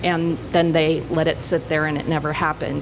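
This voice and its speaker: Audible room echo and noticeable background noise around speech at a moderate pace. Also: woman. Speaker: workers compensation rating expert. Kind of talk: conference panel presentation. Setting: conference panel with audience.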